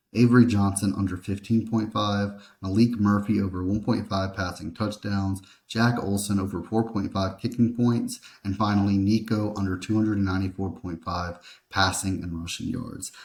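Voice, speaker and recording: A man's quiet, mumbling, monotone and flat delivery at a moderate pace, in a very clean recording with a silent background. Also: fairly low pitch for a man. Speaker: sports betting picks youtuber. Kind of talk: sports betting tutorial. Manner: mumbling a bit. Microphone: laptop mic.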